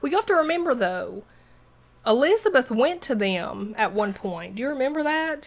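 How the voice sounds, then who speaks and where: With a Southern US accent, a woman speaks in a high pitch that swings very widely. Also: moderate pace. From US South. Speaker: podcast host. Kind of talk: casual chat.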